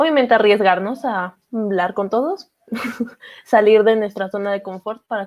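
With a Mexican accent, a woman talks at a moderate pace in a medium pitch. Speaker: podcast host. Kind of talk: casual chat.

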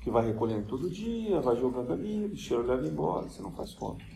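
Through audible room echo, a man speaks at a fairly quick pace in a dark, mellow tone with vocal fry and very wide pitch swings. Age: 50s. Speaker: spiritist lecturer. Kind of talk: lecture. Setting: spiritist center.

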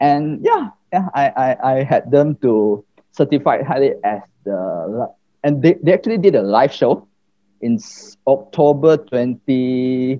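A man at a very slow pace, fairly high in pitch, with lively intonation. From Malaysia, Johor (Batu Pahat). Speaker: entrepreneur. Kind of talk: interview.

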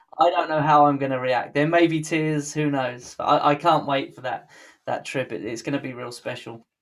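A man with a British accent and a fairly high pitch speaks at a moderate pace. His intonation is fairly even, on a very clean recording with a silent background. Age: 30s. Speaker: podcast host. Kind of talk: casual interview.

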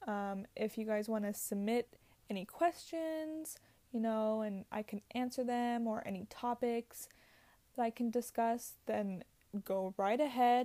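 Fairly slow and fairly high-pitched, a woman's voice with a dark, mellow tone and ordinary pitch variation comes through with a dry, close sound and no echo. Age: 20s. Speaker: podcast host. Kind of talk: casual solo monologue. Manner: hesitant, many filler words.

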